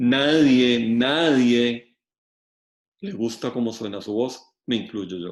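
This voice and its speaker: The pace here is very slow. A man talks at a medium pitch. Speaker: law lecturer. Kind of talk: lecture.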